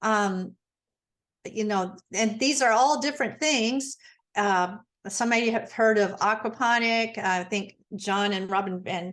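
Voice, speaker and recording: A woman with a plain, everyday voice speaks at a fairly high pitch, with ordinary pitch variation. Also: fairly slow pace, quiet background. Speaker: gardening presenter. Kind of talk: online presentation. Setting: video call.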